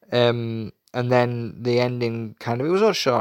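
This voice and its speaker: A man with a Yorkshire accent, on a very clean recording with a silent background. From Yorkshire, England. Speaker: wrestling show reviewer. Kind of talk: solo show review. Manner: hesitant, many fillers.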